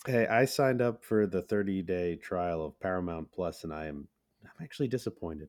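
A man with a very deep, low pitch speaks at a fairly quick pace. His intonation is lively, and his loudness swings widely. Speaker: podcast co-host and voice actor. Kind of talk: casual chat.

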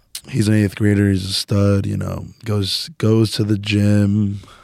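This man has an unremarkable speaking voice with a fairly low pitch and an American accent, talking at a fairly slow pace. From New Jersey, Woodbridge. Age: 20s. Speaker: powerlifter and coach. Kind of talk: casual chat.

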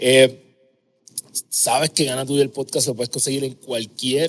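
A man talks at a fairly slow pace with a medium pitch. His is a plain, everyday voice. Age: 30s. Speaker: podcast host, habits coach. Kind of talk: casual interview chat; scripted intro.

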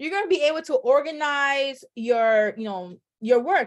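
Against a quiet background, a woman's words come at a moderate pace. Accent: New York. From New York, the Bronx. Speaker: loan signing agent and entrepreneur. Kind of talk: casual interview.

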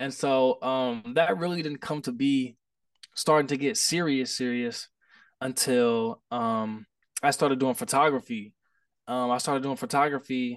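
A man talks in a plain, everyday voice, keeping a moderate pace. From Indianapolis, Indiana. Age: 20s. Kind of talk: casual chat.

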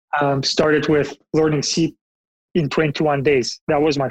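A fairly high-pitched man with a Bulgarian accent at a fairly slow pace, in a dry, close sound with no echo. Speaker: software engineering manager. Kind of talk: interview.

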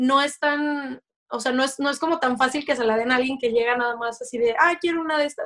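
A woman speaks at a high pitch and a fairly quick pace. Her tone is bright and sharp, and her pitch varies an ordinary amount. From Mexico, Guadalajara, Jalisco. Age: 30s. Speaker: electronics engineer and fashion blogger. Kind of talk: casual interview chat.

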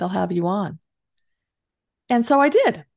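A woman's voice with vocal fry. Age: 60s. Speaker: author and entrepreneur. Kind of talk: interview.

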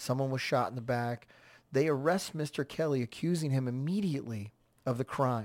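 A man with an American accent speaks at a moderate pace and a medium pitch with ordinary pitch variation. He has a plain, everyday voice. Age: 40s. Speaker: podcast host. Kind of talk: solo commentary podcast.

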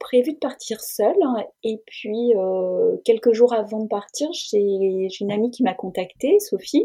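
A woman's dark, mellow voice, fairly high in pitch, at a fairly slow pace. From France, Burgundy (Auxerre area). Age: 50s. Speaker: cycle traveller. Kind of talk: interview testimony.

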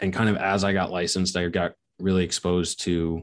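Over a quiet background, a man speaks with an American accent. His very deep, low voice has monotone, flat intonation. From Long Island, New York. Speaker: real estate investment firm founder. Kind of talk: interview.

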